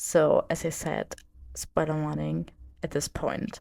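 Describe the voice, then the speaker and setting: This voice carries a strong German accent and a dark, mellow tone at a fairly slow pace. The sound is dry and close, with no echo. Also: woman. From Germany. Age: 20s. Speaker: podcast host. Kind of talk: casual podcast monologue.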